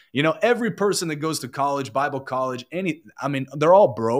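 In a very clean recording with a silent background, a man with an ordinary speaking voice talks at a fairly quick pace and a fairly high pitch, with lively intonation. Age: 20s. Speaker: online evangelist. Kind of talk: casual chat.

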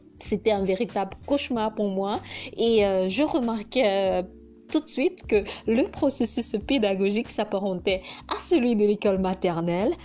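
Speaking fairly slowly with a Hausa accent, a woman has a medium pitch, a dark, mellow tone and ordinary pitch variation. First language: Hausa (speaking French). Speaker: vlogger. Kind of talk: personal narration.

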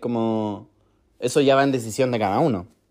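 In a Chilean accent, a man speaks with a dark, mellow tone. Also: quiet background. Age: 20s. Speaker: podcaster. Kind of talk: personal monologue. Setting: recording alone at home.

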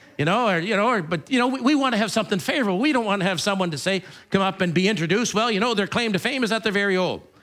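Music can be heard behind the speaker. He is a man with a high pitch. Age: 50s. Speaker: pastor. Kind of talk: sermon. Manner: halting.

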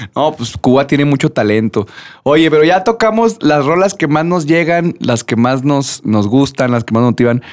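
On a very clean recording with a silent background, a man speaks at a moderate pace and fairly high pitch with lively intonation. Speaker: podcast co-host and singer. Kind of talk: casual chat.

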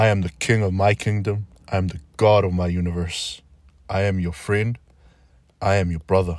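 A man's very deep, low voice in a monotone, flat delivery at a moderate pace, with long, frequent pauses, on a very clean recording with a silent background. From New Zealand, South Auckland. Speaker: podcast host. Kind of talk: spoken-word monologue.

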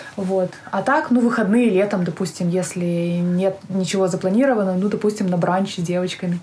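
At a moderate pace and very even loudness, a woman speaks at a medium pitch with ordinary pitch variation over noticeable background noise. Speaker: emigrant entrepreneur. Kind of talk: casual interview. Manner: hesitant, many fillers.

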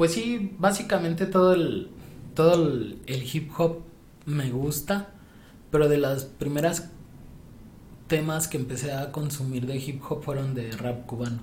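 With audible room echo, a somewhat breathy voice moves at a fairly slow pace, showing ordinary pitch variation and long, frequent pauses. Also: man, fairly high pitch for a man. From Mexico City. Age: 20s. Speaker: podcast guest, former student. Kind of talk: casual chat.

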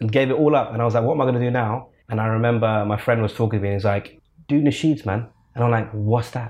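Over a quiet background, a man speaks with a London accent. His pitch is medium and his pace very fast. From England, British Pakistani. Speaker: nasheed singer. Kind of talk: interview. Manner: animated.

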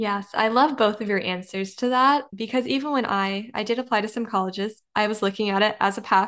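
Against a quiet background, a woman speaks in an unremarkable speaking voice. Her pitch is fairly high, her pace moderate and her intonation fairly even. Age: young. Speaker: podcast host. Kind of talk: interview.

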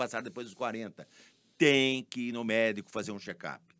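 A man's ordinary speaking voice at medium pitch and moderate pace, on a very clean recording with a silent background. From São Paulo state, Brazil (Leme/Araras area). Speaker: pharmacist and business owner. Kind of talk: interview.

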